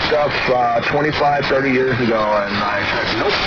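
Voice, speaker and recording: Set against noticeable background noise and audible room echo, a man talks at a moderate pace with a medium pitch and ordinary pitch variation. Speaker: ham radio operator streaming on-air chat. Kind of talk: casual radio chat. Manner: stuttering, halting.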